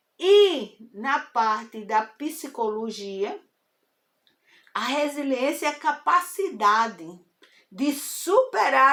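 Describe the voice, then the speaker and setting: A woman's high, bright, sharp voice at a very slow pace, with very wide pitch swings. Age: 70s. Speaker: spiritist talk host. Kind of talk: informal spiritual lecture. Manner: conversational, hesitant.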